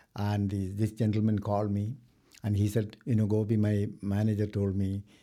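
Heard in a very clean recording with a silent background, a man with an Indian accent talks at a fairly quick pace, his fairly low voice dark and mellow in tone. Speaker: mortgage lender and author. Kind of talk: interview. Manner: formal.

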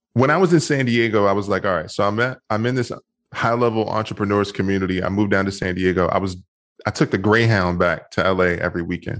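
A man with an American accent, fairly low pitch, ordinary pitch variation and a very fast pace, over a quiet background. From Washington, D.C. and Maryland suburbs. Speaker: motivational speaker and men's coach. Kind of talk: interview.

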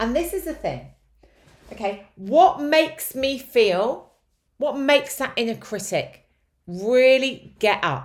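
A woman's high-pitched voice at a very slow pace. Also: lively intonation. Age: 40s. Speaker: life coach and podcast host. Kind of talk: solo podcast monologue on self-help. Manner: conversational.

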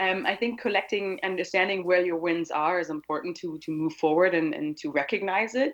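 A woman speaks at a fairly quick pace with a German accent, her medium pitch showing ordinary variation. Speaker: anti-hate activist. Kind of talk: casual interview. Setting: remote call across an ocean.

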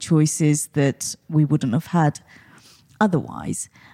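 Very slow and fairly even in intonation, a woman speaks at a very deep, low pitch with a dark, mellow tone. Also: dry, close sound with no echo. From Portsmouth, southern England. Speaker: mental health charity CEO. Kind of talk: interview.

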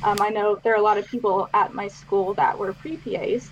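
A woman with an American accent speaks at a fairly high pitch with ordinary pitch variation over noticeable background noise. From Pittsburgh area, US. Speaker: physician assistant student. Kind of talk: casual interview.

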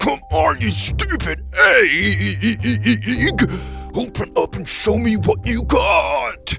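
A man's put-on character voice, extremely high-pitched, bright and sharp, with vocal fry, big pitch swings and a very slow pace, over faint music in the background

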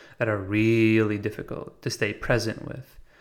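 At a moderate pace, a man with an American accent talks in a plain, everyday voice at medium pitch, captured on a very clean recording with a silent background. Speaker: podcast host. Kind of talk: monologue about meditation. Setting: recorded while traveling in Italy. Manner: reflective, conversational, with filler words.

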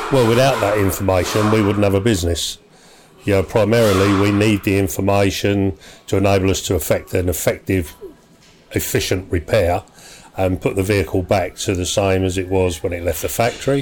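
Fairly quick speech from a man with a fairly low pitch and a southern English accent. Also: fairly even intonation. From southern England. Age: 60s. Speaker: garage owner and mechanic. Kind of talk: casual interview. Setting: at his repair workshop.

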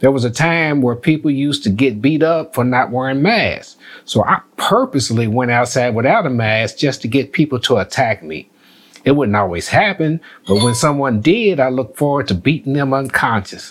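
In an unremarkable speaking voice, a man talks at a moderate pace and medium pitch with lively intonation. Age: 60s. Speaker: retired postmaster and navy veteran. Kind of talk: casual chat.

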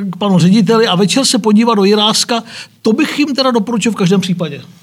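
A man with a high voice and ordinary pitch variation talks amid noticeable background noise. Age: 50s. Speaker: historian professor. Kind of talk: discussion. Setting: studio.

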